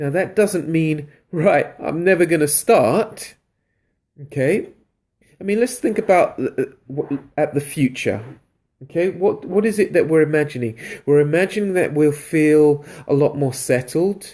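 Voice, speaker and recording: Using a London accent, a man with a dark, mellow tone and fairly high pitch speaks at a fairly slow pace, leaving long, frequent pauses. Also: ordinary pitch variation. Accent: British accent, London. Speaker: creativity coach, live streamer. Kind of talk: live stream talk to viewers. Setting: live video stream. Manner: animated.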